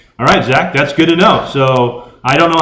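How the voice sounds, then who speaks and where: This man speaks loudly at a fairly high pitch. His tone is bright and sharp, and his pitch varies in an ordinary way. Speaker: ham radio youtuber. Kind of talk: live stream chat. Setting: garage.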